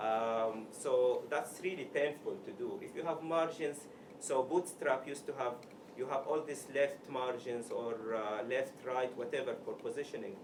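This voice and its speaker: A man with an Arabic accent at a fairly slow pace, noticeable background noise and audible room echo. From Sudan. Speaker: software developer, meetup speaker. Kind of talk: tech talk. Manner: halting.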